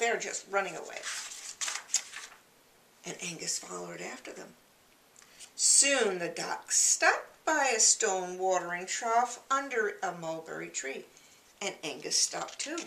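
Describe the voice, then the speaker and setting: A woman speaks at a fairly slow pace with long, frequent pauses and big swings in loudness. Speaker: grandmother reading children's books. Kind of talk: children's storytime reading.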